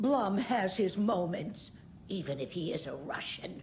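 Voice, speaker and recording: A woman puts on a character voice at a medium pitch. Background noise is clearly audible. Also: moderate pace, lively intonation. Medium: video game. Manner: gossipy, tart.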